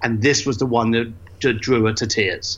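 A man with an East London accent. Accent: East London (Cockney-leaning) English. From East London, England. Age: 50s. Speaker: entrepreneur and author. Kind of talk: interview conversation. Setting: standing in his garage.

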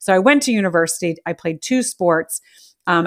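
A woman's unremarkable speaking voice, fairly low in pitch, at a moderate pace, with an American accent, dry and close with no echo. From United States. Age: 40s. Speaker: podcast host. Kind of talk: casual chat. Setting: live audio room. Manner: excitable.

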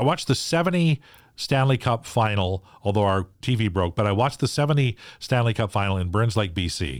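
A man's normal speaking voice, fairly low in pitch, with lively intonation and a Canadian accent, on a very clean recording against a silent background. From Saskatchewan and British Columbia, Canada. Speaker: sports radio host. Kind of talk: casual interview. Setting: in person in host's sports room. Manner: repeats and restarts words.

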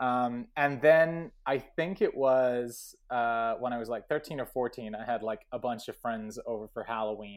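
A man with an American accent talks in a normal speaking voice at medium pitch. He goes at a fairly slow pace with ordinary pitch variation and hardly any pauses. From US, New Mexico. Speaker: filmmaker. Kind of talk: casual chat.

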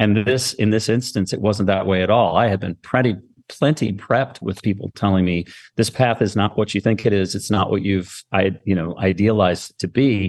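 A man with a normal speaking voice, fairly low in pitch, at a moderate pace with fairly even intonation, over a quiet background. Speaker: marketing agency founder. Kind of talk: casual interview chat.

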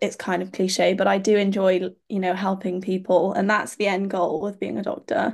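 In a Cardiff accent, a woman speaks at a medium pitch and moderate pace with hardly any pauses, over a quiet background. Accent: Cardiff Welsh English. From Wales, Cardiff. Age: 20s. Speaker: medical student and pageant titleholder. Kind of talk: interview. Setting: remote call.

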